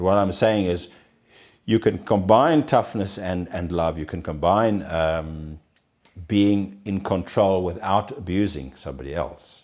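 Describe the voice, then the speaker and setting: A man with a very deep, low pitch talks over a quiet background. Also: ordinary pitch variation, fairly slow pace. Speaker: prison doctor. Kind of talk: interview. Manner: halting.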